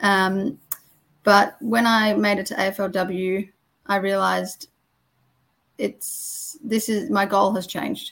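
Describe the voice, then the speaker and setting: A woman with an Australian accent speaks very slowly at a medium pitch, her intonation fairly even and her speech broken by long, frequent pauses. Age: 20s. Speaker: former football umpire. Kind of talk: interview.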